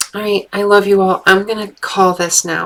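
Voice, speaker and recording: A woman speaks in a monotone, flat intonation. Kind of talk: live stream Q&A. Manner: casual with many fillers.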